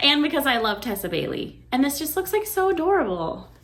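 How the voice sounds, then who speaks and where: A woman talks at a fairly quick pace in a high pitch, her voice making very wide pitch swings. Noticeable background noise runs underneath. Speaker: booktuber. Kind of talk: casual vlog book haul. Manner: fast; animated.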